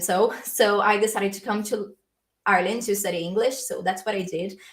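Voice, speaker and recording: Speaking fairly quickly with a Brazilian accent, a woman keeps a medium pitch and fairly even intonation. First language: Portuguese. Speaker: language learning youtuber. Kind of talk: livestream Q&A. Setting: live stream. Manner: casual, filler-heavy.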